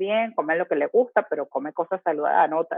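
Delivered at a fairly quick pace with lively intonation, this is an ordinary speaking voice. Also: woman. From Venezuela. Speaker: habits coach. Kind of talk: casual interview.

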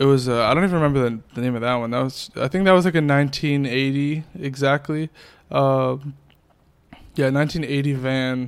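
An unremarkable speaking voice from a man with an American accent, fairly high in pitch, fairly even in intonation, at a fairly quick pace. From Worcester, Massachusetts. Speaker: music video director. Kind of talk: casual interview chat.

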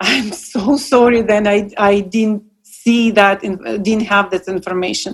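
A woman with a Russian accent, fairly even intonation and a fairly slow pace. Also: medium pitch for a woman. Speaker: paint maker.

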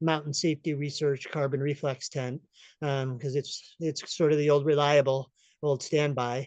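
A man speaks at a moderate pace in a normal speaking voice, with a fairly high pitch and an American accent. The sound is dry and close with no echo, over a quiet background. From upstate New York. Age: 50s. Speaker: hiker. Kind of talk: casual chat.

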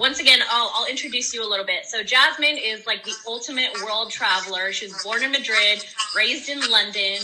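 A woman speaks at a fairly high pitch with ordinary pitch variation. Noticeable background noise runs behind her. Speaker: podcast co-host. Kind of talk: casual live chat interview. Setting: live video call.

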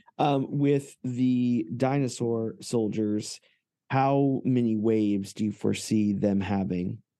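A man's very slow voice at a medium pitch, dark and mellow in tone, with ordinary pitch variation and very even loudness. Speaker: toy podcast host. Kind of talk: casual interview chat. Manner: excited, enthusiastic.

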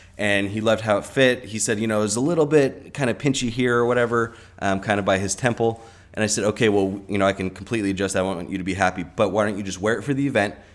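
A man's fairly low voice in a Californian accent, very fast, with ordinary pitch variation. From US West, Southern California (Orange County). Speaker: hat maker. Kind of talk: casual interview chat. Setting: studio with shared microphone.

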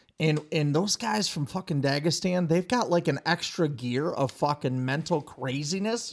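A man with a normal speaking voice, fairly high in pitch with ordinary pitch variation, at a moderate pace with hardly any pauses, in a very clean recording with a silent background. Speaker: podcast co-host, wrestling coach. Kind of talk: casual chat.

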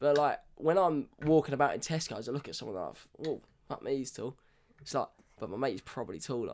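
In a British accent, a man talks at a fairly quick pace with a fairly high pitch, ordinary pitch variation and some vocal fry. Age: 20s. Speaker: podcast co-host. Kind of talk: casual chat.

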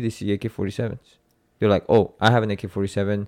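Here a man speaks in a fairly low, monotone, flat voice. The recording is very clean, with a silent background. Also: dry, close sound with no echo. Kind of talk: casual chat. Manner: loud.

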